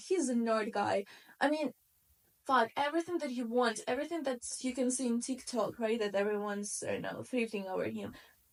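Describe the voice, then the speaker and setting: Fairly high female voice, its pitch varying in an ordinary way. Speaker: vlogger. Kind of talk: casual chat. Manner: loud; animated.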